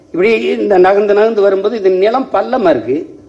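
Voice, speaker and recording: Here a man speaks with a high pitch. His intonation is lively. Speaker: politician. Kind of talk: political rally speech. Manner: fiery, passionate. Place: hall. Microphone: podium.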